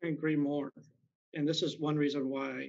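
Against a quiet background, a man with an American accent talks at a moderate pace in a fairly high, monotone, flat voice. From US West Coast, Bay Area, California; California. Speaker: school board candidate; candidate. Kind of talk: candidate forum statements and answers. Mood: earnest, somewhat frustrated. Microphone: video call.

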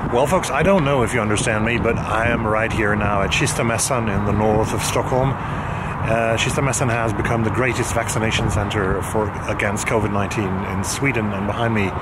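Against loud background noise, a man speaks at a moderate pace with hardly any pauses. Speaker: book vlogger. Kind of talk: casual vlog chat. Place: street. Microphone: phone near.

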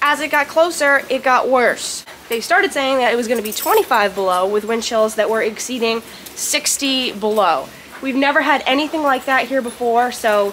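A high-pitched woman's voice at a moderate pace, with ordinary pitch variation and light background noise. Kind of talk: casual vlog chat. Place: farm machine. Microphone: phone near.

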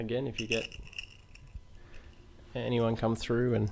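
A man whispers at a fairly slow pace. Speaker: video host showing found objects. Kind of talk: casual close-up chat, ASMR-like role-play. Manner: soft-spoken, hushed ASMR voice. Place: home room. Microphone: webcam.

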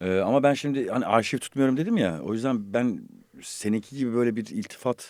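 A man speaks fairly quickly in a medium register, his pitch moving in a normal way. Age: 50s. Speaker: voice actor and podcast host. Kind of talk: casual chat. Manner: animated.

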